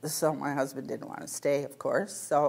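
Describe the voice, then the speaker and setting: A woman talks with a Canadian accent. Her intonation stays fairly even. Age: 60s. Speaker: retired medical secretary, healthcare patient panelist. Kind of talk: interview answer. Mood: mildly frustrated storytelling. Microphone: lapel.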